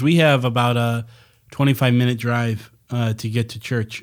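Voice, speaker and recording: A man with an ordinary speaking voice talks at medium pitch and a moderate pace, his intonation fairly even, in a very clean recording with a silent background. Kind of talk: casual banter. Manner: joking.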